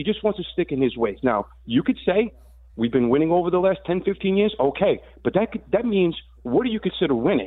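With very wide pitch swings, a man speaks in a high pitch. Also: fairly quick pace. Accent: American. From New York City (Staten Island). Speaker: sports radio caller. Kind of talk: call-in sports talk. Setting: phone call.

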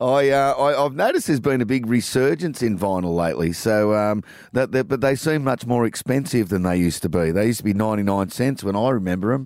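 Fairly quick and very even in loudness, a man with an Australian accent speaks at a medium pitch. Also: lively intonation, hardly any pauses, very clean recording, silent background. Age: 50s. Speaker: radio host. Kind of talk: radio interview.

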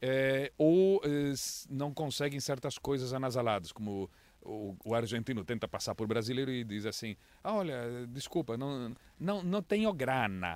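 Lively intonation fills a man's speech on a very clean recording with a silent background. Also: medium pitch for a man. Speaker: foreign correspondent journalist. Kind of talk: casual interview.

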